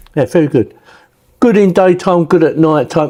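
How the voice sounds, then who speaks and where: A man speaks with an English accent at a moderate pace. His tone is dark and mellow. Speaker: tech product reviewer. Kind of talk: product review. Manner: casual.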